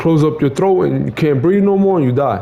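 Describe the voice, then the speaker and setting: This speaker has a slight Mexican accent, a moderate pace and ordinary pitch variation, with noticeable background noise behind the voice. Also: man. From Mexico. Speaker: streamer telling personal story. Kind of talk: casual monologue. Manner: repetitive, halting with stammered repeats.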